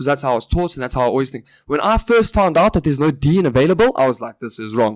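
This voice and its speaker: A man with a fairly high pitch talks at a very fast pace with very wide pitch swings. The sound is dry and close, with no echo. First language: Afrikaans. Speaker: podcast co-host. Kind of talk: casual chat.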